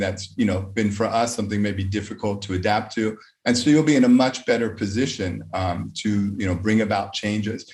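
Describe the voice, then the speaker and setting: Audible room echo surrounds a man with an American accent, a fairly low pitch and ordinary pitch variation. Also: hardly any pauses. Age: 50s. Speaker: conference speaker, educator. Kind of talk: lecture. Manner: hesitant, many fillers.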